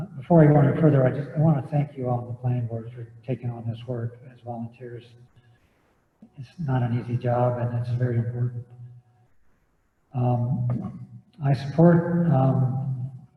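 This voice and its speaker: This soft-spoken man talks at a moderate pace and a medium pitch, his dark, mellow, somewhat breathy voice keeping fairly even intonation through long, frequent pauses and big swings in loudness. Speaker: public commenter at planning meeting. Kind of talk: public comment. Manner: halting.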